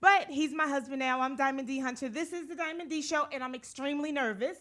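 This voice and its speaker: On a very clean recording with a silent background, a woman speaks fairly quickly in a raised, projected voice, high in pitch with a bright, sharp tone and ordinary pitch variation. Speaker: talk show host. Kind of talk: show intro. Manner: fast.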